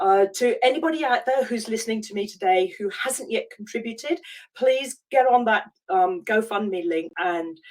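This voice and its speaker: With a British accent, a woman speaks at a moderate pace in a fairly high pitch and lively intonation. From UK. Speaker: life coach. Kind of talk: online masterclass talk. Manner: halting, many fillers.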